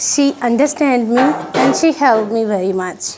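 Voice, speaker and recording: The speaker has a Pakistani accent and a moderate pace. There is noticeable background noise. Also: woman. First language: Urdu. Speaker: refugee volunteer. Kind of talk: interview. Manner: halting.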